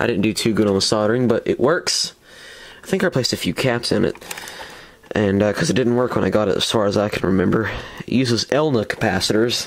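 A man at a very fast pace, with very even loudness and ordinary pitch variation. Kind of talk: casual show-and-tell commentary.

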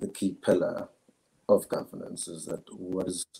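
The background stays quiet while a man talks. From South Africa, KwaZulu-Natal, Zulu. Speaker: philosophy student. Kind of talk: interview answer. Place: home room.

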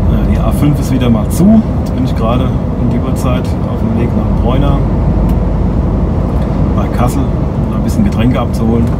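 A man speaks with long, frequent pauses. Loud background noise runs underneath. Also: moderate pace. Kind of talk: casual vlog chat. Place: car. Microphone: phone near.

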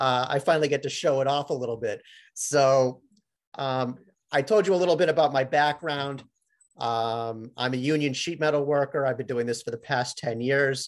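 At a moderate pace, a man talks in a fairly high pitch with fairly even intonation. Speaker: sheet metal worker; presenter. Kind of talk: webinar presentation. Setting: video call. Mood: proud, friendly. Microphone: webcam.

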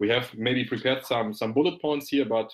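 A man at a fairly quick pace over a quiet background. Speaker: company founder. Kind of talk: business webinar presentation. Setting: live video stream. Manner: animated; laughs often. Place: office.

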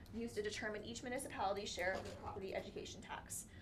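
Against audible room echo, a woman talks very fast at a fairly high pitch, her pitch varying in an ordinary way. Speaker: municipal finance staff. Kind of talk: budget presentation. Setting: council meeting.

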